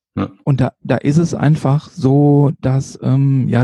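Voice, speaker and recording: A man speaks very slowly in a dark, mellow tone with a somewhat breathy quality. The sound is dry and close, with no echo. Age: 50s. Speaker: street photographer and nurse. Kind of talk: casual interview. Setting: late-evening podcast recording. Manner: hesitant, many fillers.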